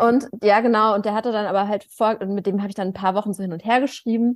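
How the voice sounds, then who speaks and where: This is a woman with a normal speaking voice at a medium pitch. She talks at a moderate pace with fairly even intonation. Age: 30s. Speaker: podcast co-host. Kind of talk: casual chat.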